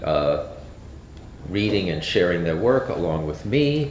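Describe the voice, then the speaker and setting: A man speaks at a fairly slow pace with lively intonation. Noticeable background noise and audible room echo surround him. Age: 60s. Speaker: author and event emcee. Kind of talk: event introduction. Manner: halting, many fillers.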